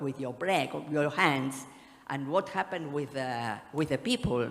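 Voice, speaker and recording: The pace is moderate throughout. A Spanish accent comes through in the speech. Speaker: conference speaker. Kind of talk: panel Q&A. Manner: halting.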